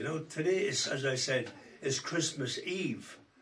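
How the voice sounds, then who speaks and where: Audible room echo and noticeable background noise fill the recording. The words come at a fairly slow pace. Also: man. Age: 80s+. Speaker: singer. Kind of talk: casual chat. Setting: at home.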